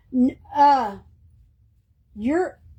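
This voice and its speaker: A woman with a Texan accent speaks with lively intonation. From East Texas. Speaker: art crafts livestreamer. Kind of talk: casual livestream chat while crafting.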